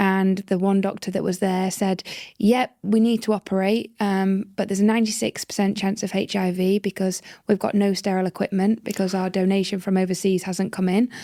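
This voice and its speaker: With a British accent, a woman talks at a fairly quick pace in a medium pitch and a dark, mellow tone, recorded very cleanly against a silent background with a dry, close sound and no echo. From northern England. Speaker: social entrepreneur. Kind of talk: interview storytelling. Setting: podcast.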